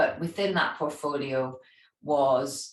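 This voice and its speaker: A woman with a Scottish accent at a fairly slow pace, amid audible room echo. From Scotland. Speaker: travel industry executive and charity founder. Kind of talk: interview.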